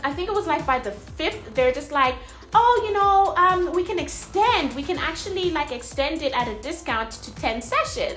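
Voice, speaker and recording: At a moderate pace, a woman's extremely high voice makes very wide pitch swings over music in the background. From South Africa. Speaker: mom blogger. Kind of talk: casual talk to camera.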